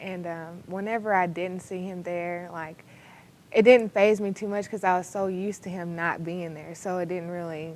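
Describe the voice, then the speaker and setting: A woman with an American accent, an unremarkable speaking voice, medium pitch, fairly even intonation and a moderate pace. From Texas, McKinney. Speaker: college basketball player. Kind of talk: interview.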